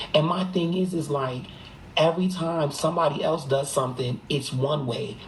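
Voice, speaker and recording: With an American accent, a man talks at a moderate pace and a fairly high pitch, showing ordinary pitch variation amid noticeable background noise and audible room echo. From Boston. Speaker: live streamer. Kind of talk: casual chat. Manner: animated.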